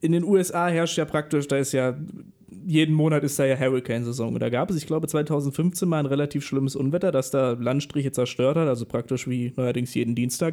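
A man speaks at a fairly quick pace in a fairly high pitch with a dark, mellow tone. The recording is very clean, with a silent background. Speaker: radio host. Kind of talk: live radio show hosting. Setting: radio studio. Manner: lively, showman-like.

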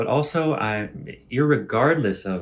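The speaker is a man with an American accent. His intonation is lively. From United States. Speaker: podcast host. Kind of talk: casual solo talk with live audience chat. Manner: animated.

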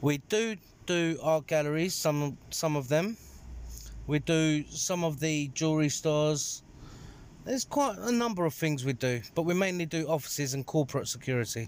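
A man with a London accent and ordinary pitch variation. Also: fairly high pitch for a man, moderate pace, very even loudness, very clean recording, silent background. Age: 30s. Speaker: security manager. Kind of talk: interview.

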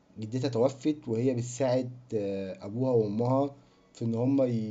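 This man keeps a fairly slow pace. His voice sits at a medium pitch. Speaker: film podcast host. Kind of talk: casual solo monologue. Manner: rambling, chatty. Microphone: cheap bad microphone.

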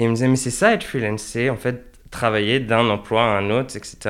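A man with an ordinary speaking voice talks at a fairly quick pace and medium pitch on a very clean recording with a silent background. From France, Angers. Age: 20s. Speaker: dancer and choreographer. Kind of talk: interview conversation. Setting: in person.

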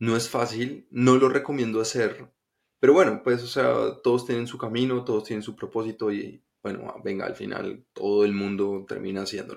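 This man talks at a moderate pace with a medium pitch and ordinary pitch variation, his loudness swinging widely. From Colombia, Bogotá. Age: 20s. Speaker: podcast host. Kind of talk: personal storytelling monologue. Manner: casual, halting with fillers.

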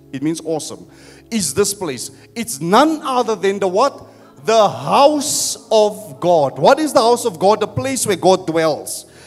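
A man's high-pitched, animated voice at a fairly slow pace, with very wide pitch swings and noticeable background noise. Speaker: pastor. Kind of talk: sermon. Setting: church.

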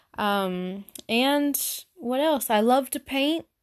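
A woman speaks very slowly in a high pitch with ordinary variation. The sound is dry and close, without echo. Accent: Southern US. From Arkansas, US South. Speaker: podcaster. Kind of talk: casual solo podcast monologue. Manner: awkward, self-conscious, filler words.

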